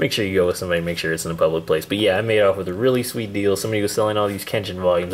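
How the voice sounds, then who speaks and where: A man rattles along very fast while noticeable background noise runs underneath. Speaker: YouTuber reviewing manga hauls. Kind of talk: casual vlog haul video. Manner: casual, filler-heavy.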